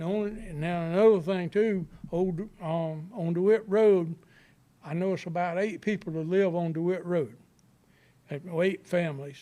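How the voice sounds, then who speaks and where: Fairly even intonation and a dark, mellow tone mark this speech in a Southern US accent, with long, frequent pauses. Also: man, high pitch for a man, fairly slow pace. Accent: Southern US (Georgia). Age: 60s. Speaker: resident speaking at public meeting. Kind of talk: public comment. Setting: county planning board meeting.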